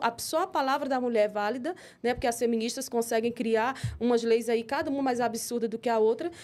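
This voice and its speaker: Very fast, high-pitched speech from a woman with a Brazilian accent, ordinary in pitch variation, on a very clean recording with a silent background. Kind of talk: interview. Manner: animated.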